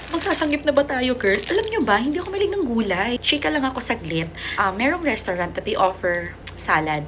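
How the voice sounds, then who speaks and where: A woman's high-pitched voice with very wide pitch swings at a fairly quick pace, over noticeable background noise. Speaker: vlogger. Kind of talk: casual unboxing vlog. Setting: at home. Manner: animated.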